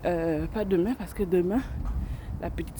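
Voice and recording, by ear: At a fairly quick pace, a woman speaks in a fairly low voice with fairly even intonation.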